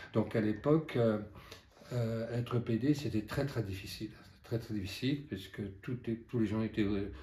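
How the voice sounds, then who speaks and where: A man speaks at a medium pitch and a moderate pace, his tone dark, mellow and somewhat breathy. His intonation is fairly even, broken by long, frequent pauses. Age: 70s. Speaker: activist and witness of past repression. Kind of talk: testimony. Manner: halting.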